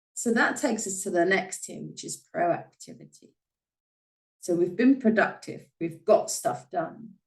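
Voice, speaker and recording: At a fairly slow pace, a woman speaks at a medium pitch with lively intonation and big swings in loudness. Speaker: podcast host. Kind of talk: solo podcast monologue. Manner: frequent filler sounds (uh, um).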